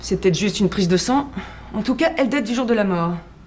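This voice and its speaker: Fairly quick, lively speech from a woman with a fairly high pitch, over noticeable background noise. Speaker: actress. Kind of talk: detective series dialogue. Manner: composed, matter-of-fact, slightly ironic.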